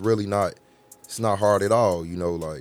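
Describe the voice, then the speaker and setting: Fairly even in intonation, the talking goes along at a fairly quick pace. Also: man. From Chicago, West Side. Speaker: rapper. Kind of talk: casual interview. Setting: studio.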